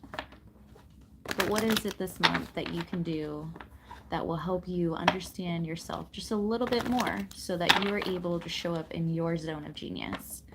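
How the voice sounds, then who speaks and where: A soft-spoken woman with a calm tone talks at a fairly slow pace and a fairly low pitch, with ordinary pitch variation over noticeable background noise. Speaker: tarot reader and spiritual wellness channel host. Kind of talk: live tarot reading to camera, spiritual guidance. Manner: soft-spoken, calm.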